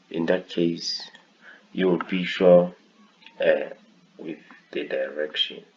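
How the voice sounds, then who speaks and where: Against noticeable background noise, the speech moves at a very slow pace with long, frequent pauses. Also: man. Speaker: forex trading tutor. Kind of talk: tutorial. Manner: halting.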